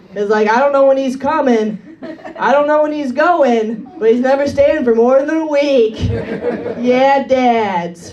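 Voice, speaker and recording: A woman speaks at a fairly slow pace in a high voice, her pitch varying in an ordinary way over noticeable background noise. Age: 30s. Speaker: comedian. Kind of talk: stand-up. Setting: stage with audience.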